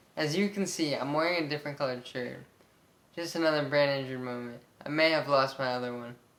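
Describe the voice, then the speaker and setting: In an American accent, a man with a fairly high pitch talks at a very fast pace over noticeable background noise. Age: 20s. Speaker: brain injury survivor vlogger. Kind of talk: personal testimony. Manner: monotone; halting, many fillers.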